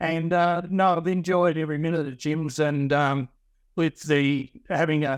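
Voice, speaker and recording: Fairly even intonation from a man with a fairly high voice, at a moderate pace. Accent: Australian. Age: 50s. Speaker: lawn mowing franchisee. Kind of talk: interview. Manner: halting.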